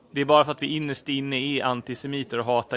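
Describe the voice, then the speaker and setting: This man's delivery is very fast. His intonation is monotone and flat. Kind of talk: scripted two-character comedy dialogue, both voices by one person. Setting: home recording, low quality.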